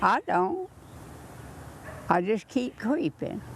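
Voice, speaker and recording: Speaking at a very slow pace, a woman is heard with noticeable background noise around her. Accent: Southern US. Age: 80s+. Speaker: centenarian birthday celebrant. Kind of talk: casual chat. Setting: outdoors.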